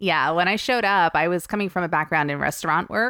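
A woman's fairly low voice with a New Jersey accent, on a very clean recording with a silent background and a dry, close sound with no echo. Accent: New Jersey American. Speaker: stripper. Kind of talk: casual chat.

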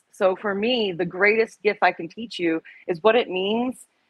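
Talking at a moderate pace with fairly even intonation, a woman with an American accent uses an unremarkable speaking voice at medium pitch. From Oklahoma/Texas, US South. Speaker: therapist and body positive model. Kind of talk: interview.

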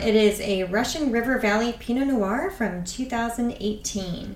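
This woman speaks at a very slow pace with a fairly high pitch. Noticeable background noise runs underneath. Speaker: podcast host and author. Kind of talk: casual chat.

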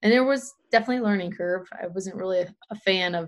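This woman has a fairly low pitch and an ordinary speaking voice. She talks at a fairly quick pace. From Pennsylvania. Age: 30s. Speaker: trail runner and running community founder. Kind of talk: casual interview.

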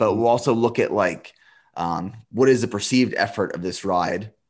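Against a quiet background, a man with an American accent uses an ordinary speaking voice at a fairly low pitch and moderate pace with fairly even intonation. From Central Pennsylvania. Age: 30s. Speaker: endurance athlete and business owner. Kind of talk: interview conversation.

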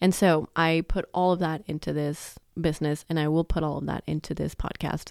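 A soft-spoken woman talks in a very deep, low voice with monotone, flat intonation. The sound is dry and close with no echo, on a very clean recording with a silent background. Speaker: podcast host and sleep consultant. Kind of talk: casual monologue. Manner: trails off softly at the end of sentences.

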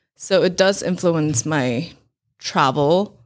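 Speaking very slowly with vocal fry, a woman with a Mandarin accent is heard on a very clean recording against a silent background. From Taiwan (Taipei). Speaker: food blogger and event organizer. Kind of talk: interview.

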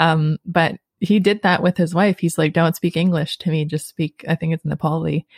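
A woman with a Canadian accent, fairly low in pitch and somewhat breathy, at a moderate pace with fairly even intonation, in a dry, close recording with no echo. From Canada, Sudbury, Ontario. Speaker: podcast host, language learner. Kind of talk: casual chat.

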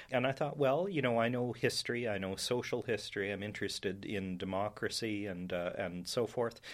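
On a very clean recording with a silent background, a man talks at a fairly quick pace with hardly any pauses, medium pitch and ordinary pitch variation. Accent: western Canadian. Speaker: professor and historian. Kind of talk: interview. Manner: measured, with fillers.

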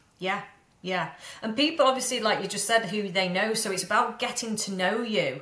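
At a moderate pace and fairly high pitch, a woman speaks with ordinary pitch variation over noticeable background noise. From Manchester, northern England. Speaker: mindset coach and business mentor. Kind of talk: casual interview chat. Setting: remote call. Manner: confident, powerful.

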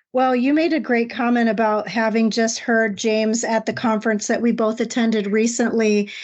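This woman has an ordinary speaking voice, fairly high in pitch, moving at a moderate pace with fairly even intonation. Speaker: podcast co-host. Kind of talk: casual podcast conversation.

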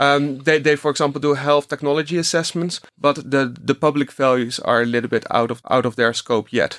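A man with a Dutch accent speaks at a fairly quick pace with hardly any pauses, his pitch fairly high. His intonation stays fairly even, and the sound is dry and close with no echo. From Netherlands. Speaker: research analyst. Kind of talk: interview. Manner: halting, many repetitions.

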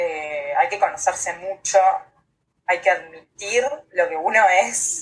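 A woman speaking at a very slow pace, with ordinary pitch variation and long, frequent pauses. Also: medium pitch for a woman. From Uruguay. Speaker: astrologer. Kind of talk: casual interview.

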